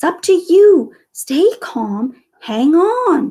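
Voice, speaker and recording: Woman's squeaky, whispering put-on character voice at a very slow pace. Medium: read story. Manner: whispering, terse.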